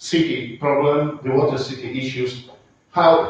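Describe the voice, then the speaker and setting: Strong room echo carries a man's voice, which moves with ordinary pitch variation. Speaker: conference lecturer. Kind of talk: lecture. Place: hall.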